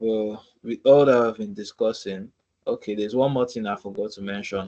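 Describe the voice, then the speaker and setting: The voice has a dark, mellow tone and a Nigerian accent. Intonation stays fairly even while the loudness swings widely. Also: man, fairly low pitch for a man, moderate pace. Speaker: student ambassador presenting a webinar. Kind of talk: tutorial webinar. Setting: video call.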